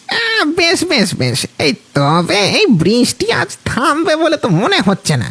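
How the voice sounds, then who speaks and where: The voice is a put-on character voice at a fairly high pitch. It moves at a fairly slow pace. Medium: audio drama. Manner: hesitant, chuckling, with filler sounds.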